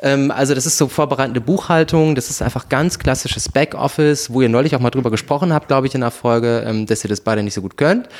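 The speaker goes at a very fast pace with hardly any pauses and ordinary pitch variation. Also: man, medium pitch for a man. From Hesse, Germany. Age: 20s. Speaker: office manager at a film production company, former musical performer. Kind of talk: casual chat. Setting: home, sitting on couch. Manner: animated, playful with voice.

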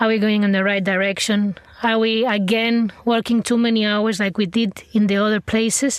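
At a moderate pace, the speaker holds a very even loudness and a monotone, flat intonation over noticeable background noise. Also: woman, fairly high pitch for a woman. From Catalonia, Spain. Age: 30s. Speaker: chef. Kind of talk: interview. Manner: soft-spoken.

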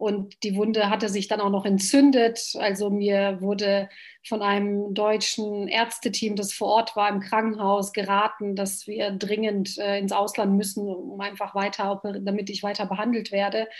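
The woman speaks at a fairly slow pace with hardly any pauses, her medium-pitched voice monotone and flat, captured in a very clean recording with a silent background. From Bosnia, Sarajevo; raised in Germany from age 11. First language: Bosnian (speaking German). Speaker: politician. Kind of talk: interview.

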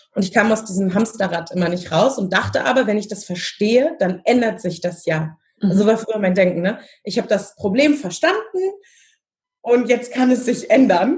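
With music playing in the background, a woman speaks using ordinary pitch variation. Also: moderate pace. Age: 30s. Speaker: family constellation facilitator. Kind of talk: interview.

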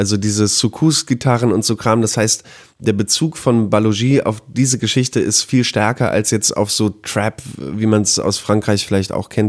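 A man talks at a moderate pace with fairly even intonation and a fairly low pitch. It is an ordinary speaking voice. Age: 30s. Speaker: music journalist. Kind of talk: casual chat.

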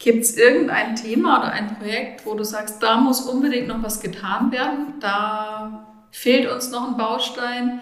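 Over noticeable background noise and audible room echo, a woman with a fairly high pitch talks at a fairly slow pace with fairly even intonation. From Rhön, Lower Franconia (Bavaria). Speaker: podcast host, sustainability officer. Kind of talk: interview.

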